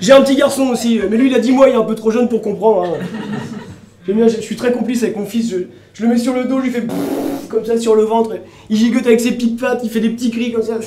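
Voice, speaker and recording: A man at an extremely high pitch and a very fast pace, flat and monotone, with audible room echo and noticeable background noise. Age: 30s. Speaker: comedian. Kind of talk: stand-up. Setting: stage with audience.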